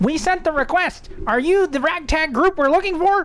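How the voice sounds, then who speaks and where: A woman's put-on character voice, extremely high in pitch, with light background noise. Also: moderate pace. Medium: actual play. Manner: terse, mischievous.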